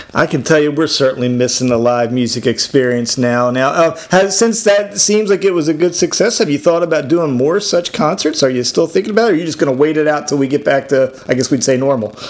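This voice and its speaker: Lively intonation drives very fast speech with hardly any pauses, over noticeable background noise. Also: man, fairly high pitch for a man. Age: 50s. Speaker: radio host. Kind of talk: casual interview.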